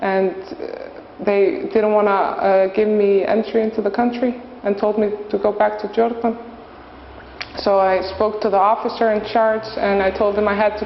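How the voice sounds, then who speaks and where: Someone with an Icelandic accent speaks at a moderate pace over noticeable background noise. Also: woman. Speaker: volunteer teacher. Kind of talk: interview. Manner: halting.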